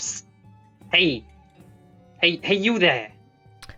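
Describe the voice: Faint music plays in the background as a put-on character voice at middle pitch moves at a fairly slow pace.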